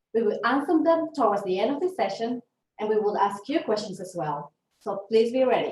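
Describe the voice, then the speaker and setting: Here a woman speaks with a Venezuelan accent at a fairly quick pace. Her voice is fairly high, with lively intonation. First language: Spanish. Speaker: leadership development consultant. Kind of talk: webinar presentation. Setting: online webinar.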